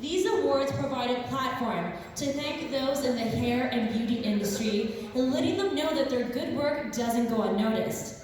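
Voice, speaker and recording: Upbeat and energetic, a woman speaks at a moderate pace in a high pitch with ordinary pitch variation, very even loudness and hardly any pauses, over noticeable background noise. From Toronto, Canada. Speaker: event emcee and TV host. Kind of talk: live award show emcee. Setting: live event stage. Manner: upbeat, energetic.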